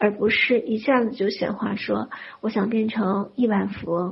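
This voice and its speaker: Noticeable background noise sits behind the voice. Delivery is fairly slow, and the intonation stays fairly even. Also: woman. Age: 40s. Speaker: spiritual wealth-manifestation teacher. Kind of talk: lecture.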